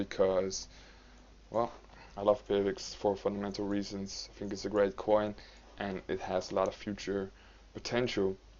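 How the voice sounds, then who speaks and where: A man speaks slowly-ish, at a fairly slow pace, with a non-native accent. His fairly low pitch stays monotone and flat. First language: not English. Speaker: cryptocurrency YouTuber. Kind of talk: market analysis commentary. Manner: halting, many fillers.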